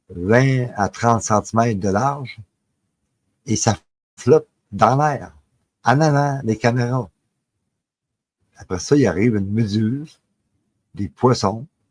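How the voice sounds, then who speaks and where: A man with a Quebec accent at medium pitch, very slow, with long, frequent pauses, ordinary pitch variation and a dry, close sound with no echo. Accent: Québécois French. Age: 60s. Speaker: paranormal storyteller. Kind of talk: personal testimony. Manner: halting, many filler words.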